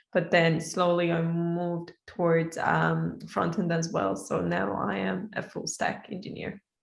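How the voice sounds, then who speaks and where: A woman with an Iranian accent, fairly low in pitch, speaking at a fairly slow pace. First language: Persian. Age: 20s. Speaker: software engineer. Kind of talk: casual online interview. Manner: halting, many fillers.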